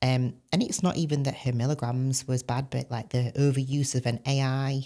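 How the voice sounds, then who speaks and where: Delivered in a Yorkshire accent at a moderate pace, the voice has a dark, mellow tone, very even loudness and flat, monotone intonation. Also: woman, very deep, low pitch for a woman. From northern England, Barnsley (Yorkshire). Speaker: former bodybuilder and coach. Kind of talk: podcast interview.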